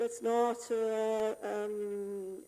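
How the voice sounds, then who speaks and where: Her voice is fairly high for a woman. She has a dark, mellow tone and speaks with an Italian accent. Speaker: game UI programmer. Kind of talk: conference talk. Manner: halting, many fillers; improvised.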